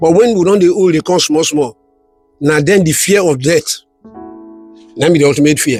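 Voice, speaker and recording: With music in the background, a man speaks in a fairly high voice, leaving long, frequent pauses. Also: ordinary pitch variation, fairly quick pace. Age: 70s. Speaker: elder giving life advice. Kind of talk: interview answer.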